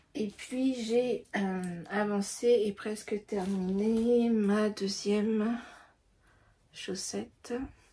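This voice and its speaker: This woman talks at a very slow pace in a fairly high pitch, her dark, mellow tone somewhat breathy and her intonation fairly even. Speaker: candle maker and knitting podcaster. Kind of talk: casual chat. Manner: hesitant, many fillers.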